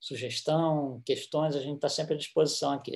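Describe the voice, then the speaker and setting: A man with an ordinary speaking voice talks at a moderate pace and a fairly high pitch, his intonation fairly even. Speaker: spiritist lecturer. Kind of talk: lecture.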